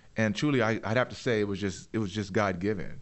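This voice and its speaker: A man speaks in an ordinary speaking voice, his pitch fairly low. He keeps a moderate pace with fairly even intonation. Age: 50s. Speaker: entrepreneur and inventor. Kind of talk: interview.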